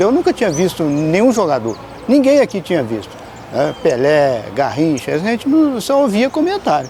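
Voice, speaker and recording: Against noticeable background noise, a man speaks at a moderate pace with very wide pitch swings. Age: 60s. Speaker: local resident interviewee. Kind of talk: documentary interview. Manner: halting.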